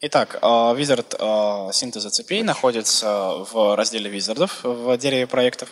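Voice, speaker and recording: A man talks in a medium pitch at a moderate pace with hardly any pauses and ordinary pitch variation. His loudness stays very even over noticeable background noise. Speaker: Russian interpreter. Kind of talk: simultaneous interpretation of a presentation. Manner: hesitant, filler words.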